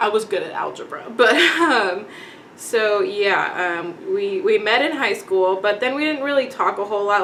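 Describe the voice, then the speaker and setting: A woman with a slight Texan accent talks with lively intonation. Audible room echo and noticeable background noise fill the recording. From Texas, Dallas-Fort Worth. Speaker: beauty vlogger. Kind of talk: casual chat. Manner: casual, many fillers.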